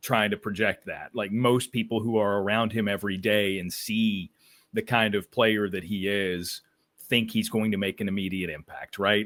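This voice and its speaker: Using a normal speaking voice, a man with an American accent talks at a moderate pace and fairly low pitch with fairly even intonation. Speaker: baseball broadcaster and podcaster. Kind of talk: podcast interview.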